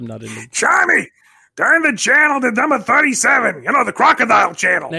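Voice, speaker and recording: Using a raised, projected, put-on character voice, a man speaks at an extremely high pitch. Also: moderate pace. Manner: gruff.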